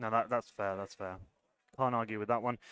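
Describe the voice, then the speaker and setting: The recording sounds dry and close, with no echo. A man speaks with a British accent. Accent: completely British. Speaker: esports caster. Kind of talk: live commentary. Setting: live event stage.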